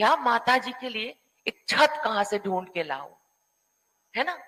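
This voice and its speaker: Bright and sharp in tone, a woman speaks in a high pitch with lively intonation. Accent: non-native. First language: not Hindi (speaking Hindi). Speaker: panel speaker. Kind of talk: panel discussion. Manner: halting.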